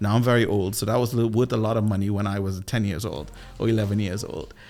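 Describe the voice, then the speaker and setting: Talking at a very fast pace with a Trinidadian accent, a man is heard over audible room echo. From Trinidad and Tobago. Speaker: sales coach and former radio DJ. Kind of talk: podcast interview. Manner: animated.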